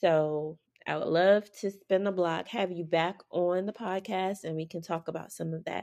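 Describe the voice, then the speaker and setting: At a moderate pace, a woman with an ordinary speaking voice talks in a fairly low pitch with fairly even intonation. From New York City, Harlem. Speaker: podcast host. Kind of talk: casual chat.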